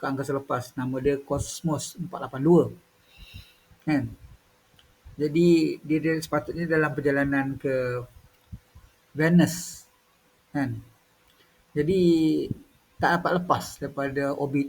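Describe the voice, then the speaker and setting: At a very slow pace with long, frequent pauses, a man speaks somewhat breathily at a fairly high pitch with fairly even intonation. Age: 50s. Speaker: YouTuber. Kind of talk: casual monologue.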